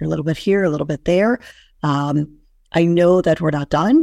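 With a dark, mellow tone and vocal fry, a woman talks at a fairly quick pace with ordinary pitch variation, her voice dry and close with no echo. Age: 50s. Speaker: entrepreneur and women's business coach. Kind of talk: interview.

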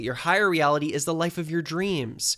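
An energetic delivery in a bright, sharp tone with ordinary pitch variation, on a very clean recording with a silent background. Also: man. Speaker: podcast host. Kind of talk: motivational monologue.

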